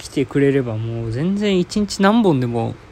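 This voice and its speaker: Noticeable background noise runs through the clip. A man's voice can be heard over it. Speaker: podcast host. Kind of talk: solo casual talk. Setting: at home, in quarantine.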